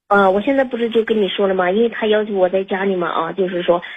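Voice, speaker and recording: Very fast pace with fairly even intonation. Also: woman. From China outside Liaoning. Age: 40s. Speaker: caller. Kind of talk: personal story on call-in. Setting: phone call. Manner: halting, many fillers.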